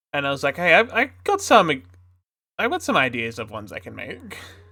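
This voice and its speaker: This man has an Australian accent. His tone is bright and sharp. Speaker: streamer and artist. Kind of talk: casual live stream chat. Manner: relaxed, halting.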